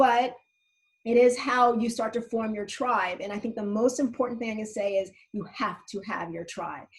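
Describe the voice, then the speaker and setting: With an American accent, a woman talks in an animated tone at a high pitch. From US Northeast (South Jersey). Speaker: film and TV producer. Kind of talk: interview.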